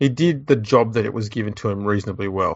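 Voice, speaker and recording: In an Australian accent, a man speaks at a medium pitch. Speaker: podcast host. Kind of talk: casual comedic chat.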